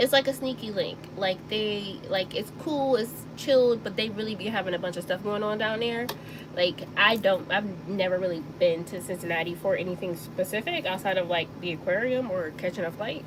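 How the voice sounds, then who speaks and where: A woman's medium-pitched voice in an American accent, with ordinary pitch variation and noticeable background noise. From US South, Mississippi Delta. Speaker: sewing channel host. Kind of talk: casual chat during live stream. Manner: casual, filler-heavy.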